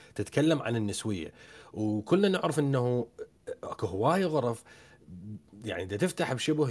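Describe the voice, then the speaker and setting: Speaking in an Iraqi accent, a man talks at a moderate pace. His pitch is medium. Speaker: podcast host. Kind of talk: panel moderation.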